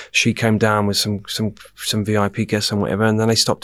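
Someone talks very fast with an English accent. The recording is very clean, with a silent background. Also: man. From England. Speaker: nightclub general manager. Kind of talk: casual chat. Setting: studio.

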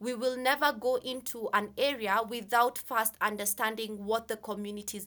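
Pitch moves in an ordinary way. The sound is bright and sharp. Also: woman. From Kenya. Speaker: humanitarian housing, land and property specialist. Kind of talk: interview. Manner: hesitant with frequent fillers.

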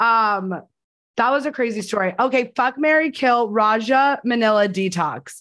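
With a quiet background, a woman in an ordinary speaking voice talks at a moderate pace and fairly high pitch, with ordinary pitch variation and very even loudness. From New Jersey. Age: 30s. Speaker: podcast host and casting director. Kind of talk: casual chat. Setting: video call.

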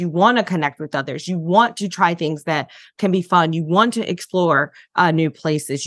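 Over a quiet background, a woman with an American accent talks in a plain, everyday voice, fairly low in pitch, at a moderate pace with ordinary pitch variation. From US Midwest, Detroit. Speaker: burnout and wellness coach. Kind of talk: interview.

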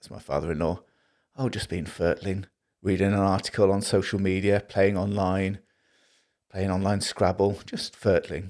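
A man with a Liverpool accent talks with monotone, flat intonation and big swings in loudness. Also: fairly low pitch for a man, moderate pace, very clean recording, silent background. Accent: Scouse (Liverpool). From Liverpool, northern England. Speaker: preacher. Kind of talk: sermon.

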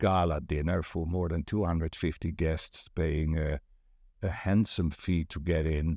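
Speaking with a Dutch accent, a man uses a very deep, low pitch and fairly even intonation, recorded very cleanly against a silent background with a dry, close sound and no echo. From Netherlands. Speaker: property agent and networking event organizer. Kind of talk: casual interview chat.

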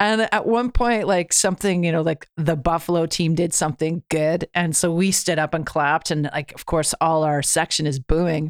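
In an ordinary speaking voice, a woman talks at a moderate pace with a fairly low pitch, ordinary pitch variation and hardly any pauses, in a very clean recording with a silent background and a dry, close sound with no echo. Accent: Canadian. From Canada. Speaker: musician. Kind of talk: casual chat.

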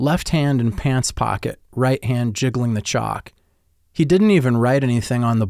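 Pitch shifts in an ordinary way as someone reads in a natural reading voice.

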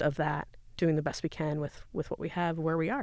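In an American accent, a woman speaks with a very deep, low pitch and monotone, flat intonation. The recording is very clean, with a silent background. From Iowa. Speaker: podcast guest, homeschooling mother. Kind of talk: casual chat. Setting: studio.

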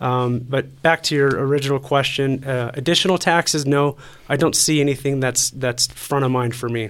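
A man with an American accent talks at a moderate pace and medium pitch. He has a normal speaking voice with fairly even intonation. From Colorado, Colorado Springs area. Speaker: city council candidate. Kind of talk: interview.

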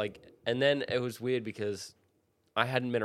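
A man with an Australian accent talks at a fairly quick pace in a monotone, flat intonation. The recording is very clean with a silent background. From Australia, Sydney. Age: 30s. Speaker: professional skateboarder. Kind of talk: casual chat.

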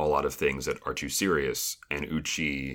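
Vocal fry runs through a fairly slow delivery. The recording is very clean, with a silent background. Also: man. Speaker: podcast co-host discussing a reality show. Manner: conversational, analytical.

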